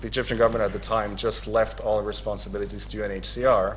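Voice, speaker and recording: A man's voice with audible room echo. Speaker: seminar speaker on refugee law. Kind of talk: academic seminar presentation. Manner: fast.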